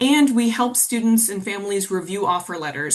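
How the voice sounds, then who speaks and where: A woman's unremarkable speaking voice at medium pitch with ordinary pitch variation. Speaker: college financial aid counselor. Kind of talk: webinar presentation. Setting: webinar.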